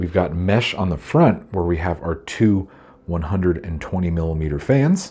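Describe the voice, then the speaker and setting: Dark, mellow tone, somewhat breathy, at a moderate pace with ordinary pitch variation. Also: man, very deep, low pitch for a man. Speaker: PC hardware reviewer. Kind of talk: product review, ASMR-style walkthrough. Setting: filming handheld with a body gimbal. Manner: soft-spoken.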